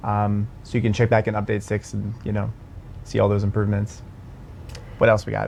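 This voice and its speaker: With an American accent, a man talks at a fairly low pitch in a flat monotone, leaving long, frequent pauses. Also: fairly quick pace. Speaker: game community livestream host. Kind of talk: casual Q&A livestream.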